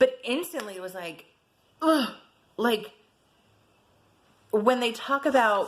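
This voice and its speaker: Her pitch fairly high and swinging very widely, a woman speaks in an animated tone at a fairly slow pace. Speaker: personal vlogger sharing abuse experience. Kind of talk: personal testimony vlog. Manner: loud.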